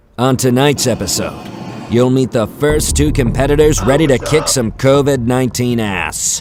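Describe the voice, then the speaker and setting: Noticeable background noise sits behind a man speaking at a moderate pace. His pitch is medium, with ordinary pitch variation. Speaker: voice-over announcer. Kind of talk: TV show intro narration.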